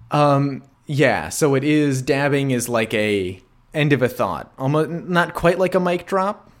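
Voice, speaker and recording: A man with an American accent talks at a fairly slow pace and a fairly high pitch, with lively intonation. It is a normal speaking voice. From rural Wisconsin, US. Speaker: podcast co-host. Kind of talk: casual chat.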